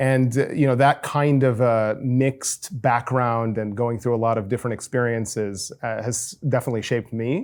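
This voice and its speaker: On a very clean recording with a silent background, a man with an American accent has an unremarkable speaking voice at a medium pitch. He keeps a moderate pace with hardly any pauses and fairly even intonation. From United States. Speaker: podcast host and startup founder. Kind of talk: interview. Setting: guest's home.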